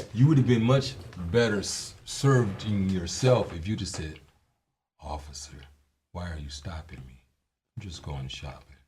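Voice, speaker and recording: At a moderate pace with long, frequent pauses, the speaker, in an American accent, shows very wide pitch swings, big swings in loudness and vocal fry, with audible room echo. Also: man, very deep, low pitch for a man. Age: 60s. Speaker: former police officer. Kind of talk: casual chat.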